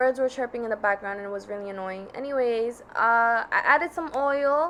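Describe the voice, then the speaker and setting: A woman speaks with an American accent and a bright, sharp tone. Her pitch varies in an ordinary way against a quiet background. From New York. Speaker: student vlogger. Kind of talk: voiceover narration of cooking tutorial. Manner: casual.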